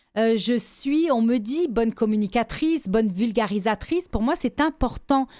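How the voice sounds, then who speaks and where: In a very clean recording with a silent background, a woman speaks at a fairly slow pace with a dark, mellow tone and lively intonation. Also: very even loudness. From Lebanon, then France from 17. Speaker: businesswoman and gender-equality advocate. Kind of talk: radio interview. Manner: hesitant, with repeated false starts.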